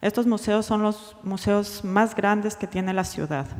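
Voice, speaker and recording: Speaking fairly slowly, the woman keeps her pitch in the medium range. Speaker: museum researcher presenting at a conference. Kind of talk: conference presentation. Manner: slow, deliberate Spanish; halting, hesitant English.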